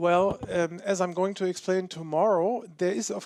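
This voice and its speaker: A very slow, high-pitched male voice with a German accent. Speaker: philosophy professor. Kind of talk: Q&A after lecture.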